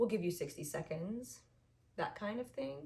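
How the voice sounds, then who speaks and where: At a moderate pace, a woman talks in a dark, mellow tone that is somewhat breathy, with audible room echo. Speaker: vlogger. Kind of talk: casual chat. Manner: hesitant, many fillers.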